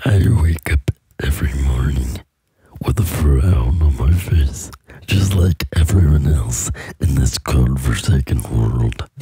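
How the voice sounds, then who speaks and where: Soft-spoken and at a fairly slow pace, a man uses a put-on character voice with a very deep, low pitch. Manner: soft-spoken, ASMR-like.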